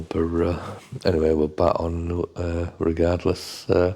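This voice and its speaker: A very deep, low male voice with an English accent, monotone, flat intonation and a fairly slow pace. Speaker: fishery manager and channel host. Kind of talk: monthly update talk. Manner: hesitant, many fillers.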